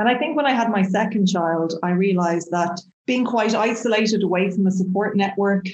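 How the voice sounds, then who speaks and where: With a Dublin accent, a woman talks at a moderate pace and medium pitch. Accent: Irish (Dublin). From Dublin, Ireland. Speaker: chemistry professor. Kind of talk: interview.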